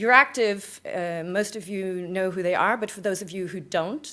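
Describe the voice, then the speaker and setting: On a very clean recording with a silent background, a woman with an American accent speaks at medium pitch and a moderate pace. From California, US (Bay Area). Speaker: conference speaker, EU media project manager. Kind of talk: conference presentation. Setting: conference stage with audience. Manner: energetic, punchy.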